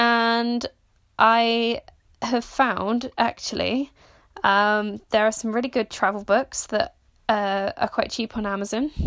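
The recording is very clean, with a silent background. A woman with a fairly high voice speaks at a very slow pace. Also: fairly even intonation. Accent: British. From Britain. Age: 20s. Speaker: podcast host. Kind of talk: solo monologue. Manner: halting with frequent fillers; casual and conversational.

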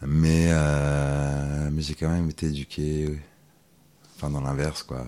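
A man with a very deep, low pitch speaks at a very slow pace in monotone, flat intonation, leaving long, frequent pauses. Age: 30s. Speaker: school supervisor and masseur. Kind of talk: casual interview.

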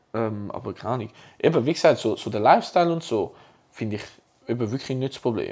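Very fast and at a medium pitch, a man talks with ordinary pitch variation and long, frequent pauses. His loudness swings widely in a very clean recording with a silent background. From Zurich, Switzerland. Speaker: podcast co-host. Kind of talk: casual chat.

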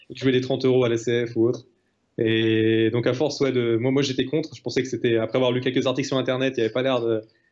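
A man talks at a very fast pace in a medium pitch. His intonation stays monotone and flat. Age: 20s. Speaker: retired professional poker player. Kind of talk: interview.

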